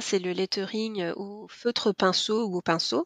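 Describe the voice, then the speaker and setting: This woman talks very slowly. The audio is dry and close, without any echo. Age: 40s. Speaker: lettering artist. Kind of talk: interview. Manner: hesitant, many fillers.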